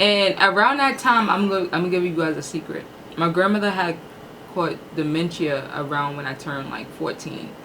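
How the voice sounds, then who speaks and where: A woman with a fairly low voice speaks in an animated tone with lively intonation. The recording has audible room echo and noticeable background noise. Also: moderate pace. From New York (Harlem). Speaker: YouTube host. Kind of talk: casual chat.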